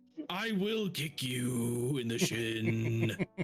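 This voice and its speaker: This is a put-on character voice. Its intonation is lively. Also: man, medium pitch for a man. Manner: gruff, threatening.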